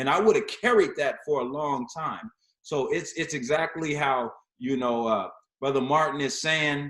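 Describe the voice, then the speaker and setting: A man's ordinary speaking voice, fairly high in pitch, with ordinary pitch variation at a moderate pace. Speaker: panelist. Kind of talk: panel discussion.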